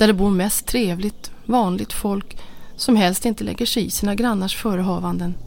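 The reading voice is natural, its pitch varying in an ordinary way.

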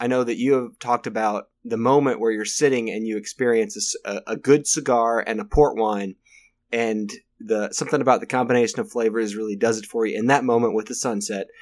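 An ordinary speaking voice from a man, medium in pitch, fairly quick in pace, with fairly even intonation. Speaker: podcast host. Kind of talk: casual chat over beers. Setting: pub-style podcast, drinking beer.

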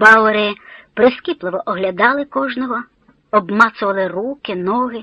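Someone reads aloud plainly, with ordinary pitch variation.

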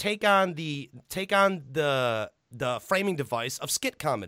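A man with an American accent speaks in a high, bright, sharp voice with very wide pitch swings. The recording is very clean, dry and close, with a silent background and no echo. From Illinois, US Midwest. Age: 30s. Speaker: podcast host. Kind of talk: casual chat. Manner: animated.

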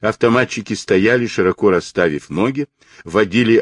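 Pitch moves in an ordinary way through this natural reading voice.

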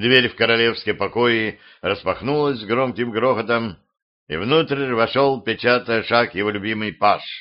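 It is plain reading aloud over a quiet background.

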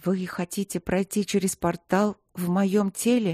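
On a very clean recording with a silent background, a female-sounding put-on character voice sounds shaky, with a medium pitch, monotone flat intonation and a moderate pace. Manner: trembling, fearful.

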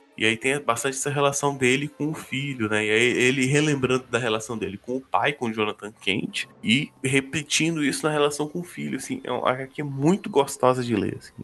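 This man has an unremarkable speaking voice at medium pitch, talking at a fairly quick pace with ordinary pitch variation and hardly any pauses. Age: 20s. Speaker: comics podcaster. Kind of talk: casual chat.

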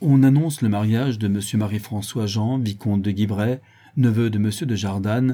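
The text is read aloud in a natural voice.

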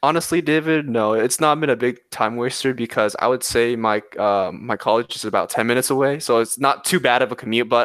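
Recorded very cleanly against a silent background, a man with an ordinary speaking voice talks at medium pitch and a fairly quick pace with ordinary pitch variation. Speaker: community college student. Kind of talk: casual interview chat.

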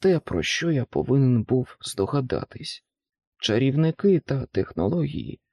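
Someone reads aloud plainly, and the background is quiet.

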